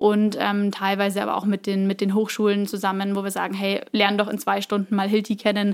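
At a fairly quick pace, a woman of medium pitch speaks in a monotone, flat way. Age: 20s. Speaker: employer branding specialist. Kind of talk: interview.

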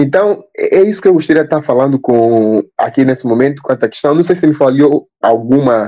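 Speaking with an Angolan accent, a man uses a fairly high pitch. His pace is moderate, and his pitch variation is ordinary. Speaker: linguistics graduate student. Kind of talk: panel discussion.

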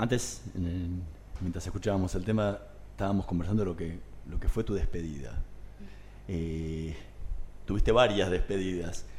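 A man speaks at a moderate pace at a very deep, low pitch with ordinary pitch variation. His somewhat breathy voice is broken by long, frequent pauses. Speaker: radio host. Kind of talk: radio interview.

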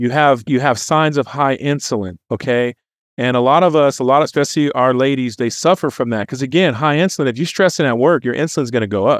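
A man with an American accent talks very fast in a medium pitch, with ordinary pitch variation and an animated tone. The background is quiet. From California. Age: 40s. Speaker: health and wellness advocate. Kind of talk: casual interview chat.

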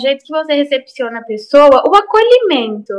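A woman's voice, high in pitch. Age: 20s. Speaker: lawyer. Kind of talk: casual chat. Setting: video call.

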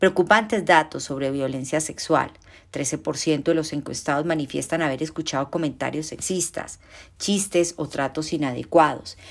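A woman speaks with a very deep, low pitch and vocal fry. Her pace is fairly slow, with ordinary pitch variation. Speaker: law professor. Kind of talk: academic talk. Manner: formal.

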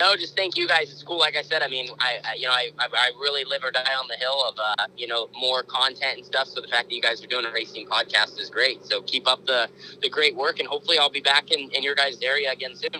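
A man's fairly high, bright, sharp voice at a very fast pace with hardly any pauses and ordinary pitch variation, dry and close with no echo. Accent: American. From Oregon, US West Coast. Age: 20s. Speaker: sprint car driver. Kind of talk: interview. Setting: in a car.

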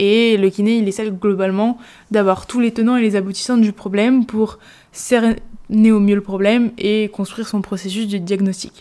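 Fairly high in pitch, a woman's voice with a dark, mellow tone moves at a moderate pace in a monotone, flat intonation. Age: 20s. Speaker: sports physiotherapist and strength coach. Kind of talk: solo podcast monologue. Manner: casual, with frequent fillers.

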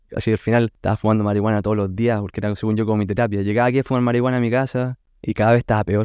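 Against a quiet background, a man with a Chilean accent and a dark, mellow tone talks at a very fast pace, the sound dry and close with no echo. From Chile, Concepción area. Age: 30s. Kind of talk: testimony. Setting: recorded at guest's home.

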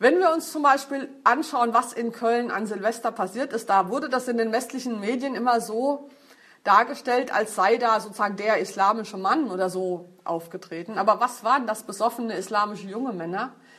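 A woman speaks in a normal speaking voice, fairly high in pitch, with ordinary pitch variation and at a moderate pace. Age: 50s. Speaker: feminist speaker. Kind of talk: lecture.

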